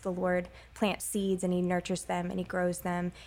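Heard on a very clean recording with a silent background, a woman speaks at a moderate pace and a fairly low pitch. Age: young. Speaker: stage actor. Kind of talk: interview.

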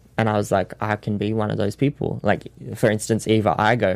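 In a very clean recording with a silent background, a man with an Australian accent speaks at a moderate pace in a fairly low pitch, his intonation monotone and flat. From Sydney, Australia. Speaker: dancer and actor.

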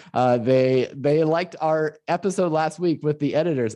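A man speaks in a Midwestern US accent. His fairly high voice has a dark, mellow tone. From northern Illinois. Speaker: podcast host. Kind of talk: casual chat.

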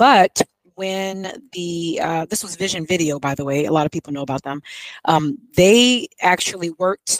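In an unremarkable speaking voice of medium pitch, a woman speaks with ordinary pitch variation, the sound dry and close with no echo. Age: 50s. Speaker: YouTube host and homeschooling mother. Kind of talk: casual interview.

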